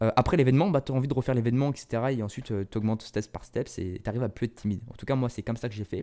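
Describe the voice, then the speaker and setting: The voice belongs to a man and sits at a medium pitch. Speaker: content creator. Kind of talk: casual monologue podcast. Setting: solo in front of camera. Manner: fast; animated.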